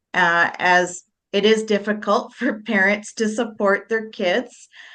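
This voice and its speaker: Speaking fairly slowly, a woman with an unremarkable speaking voice keeps to a medium pitch that rises and falls in an ordinary way. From Manitoba, Canada. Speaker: interviewee sharing life story. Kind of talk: interview.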